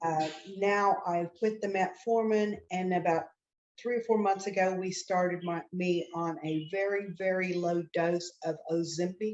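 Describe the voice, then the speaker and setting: A woman with an unremarkable speaking voice talks fairly slowly, keeping a medium pitch and fairly even intonation. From Oklahoma, US. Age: 60s. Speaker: attorney, clinical trial patient. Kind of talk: interview.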